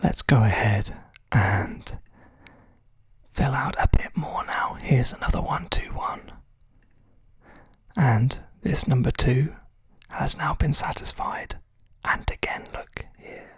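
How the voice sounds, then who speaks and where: The voice is a whisper with a calm, relaxed tone. It moves very slowly, with long, frequent pauses. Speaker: ASMR tutorial host. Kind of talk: instructional tutorial narration. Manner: soft-spoken, calm, relaxed.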